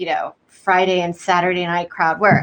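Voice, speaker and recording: At a moderate pace, a woman speaks at medium pitch in a bright, sharp tone. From Texas, Houston. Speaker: comedian. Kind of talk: casual chat. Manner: soft-spoken.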